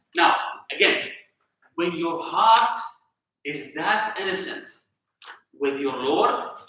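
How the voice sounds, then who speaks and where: A man with an Arabic accent speaks at a fairly slow pace. Audible room echo surrounds his voice. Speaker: Islamic teacher. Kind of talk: religious lesson with discussion. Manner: conversational, halting with self-corrections.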